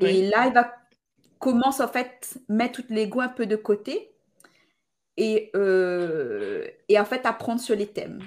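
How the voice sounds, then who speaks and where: Long, frequent pauses in a woman's very slow speech, pitched fairly high and with ordinary pitch variation. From Réunion, Sainte-Marie. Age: 30s. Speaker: podcaster and Instagram creator. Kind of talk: casual interview.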